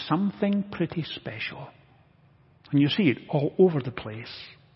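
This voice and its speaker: The speaker is a man going at a moderate pace. His pitch swings very widely. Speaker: preacher. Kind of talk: sermon. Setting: church.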